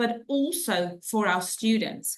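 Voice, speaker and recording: A woman with a fairly high pitch makes very wide pitch swings. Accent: South African. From South Africa. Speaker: head of inclusion for a school group. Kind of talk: webinar presentation. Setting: online webinar.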